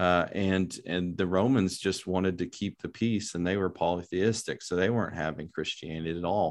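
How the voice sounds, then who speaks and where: Over a quiet background, a man with a West Texas accent speaks at a moderate pace in a very deep, low pitch, with fairly even intonation and hardly any pauses. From West Texas, Lubbock. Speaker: philosophy professor. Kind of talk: interview.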